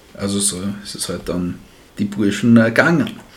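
The speech moves at a fairly slow pace. Audible room echo and noticeable background noise fill the recording. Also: man. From Styria, Austria. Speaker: history podcast co-host. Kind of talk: casual history storytelling.

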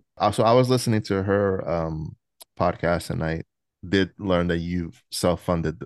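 Over a quiet background, a man with a very deep, low voice speaks at a moderate pace with fairly even intonation, the sound dry and close with no echo. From New York. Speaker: podcast host and interviewer. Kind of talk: casual interview chat. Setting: video call.

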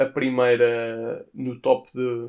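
The voice belongs to a man with a medium pitch. His intonation is fairly even. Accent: European Portuguese. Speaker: podcaster. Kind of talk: casual music review monologue. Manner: informal, conversational.

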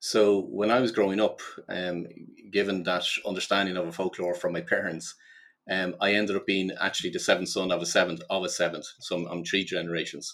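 Fairly quick, fairly even intonation from a man with a very deep, low pitch. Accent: Dublin. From Ireland. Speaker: life purpose coach and business consultant. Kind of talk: podcast interview. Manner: halting, many repetitions and fillers.

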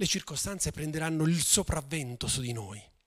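This man speaks with a fairly high pitch. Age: 50s. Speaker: pastor. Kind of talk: sermon.

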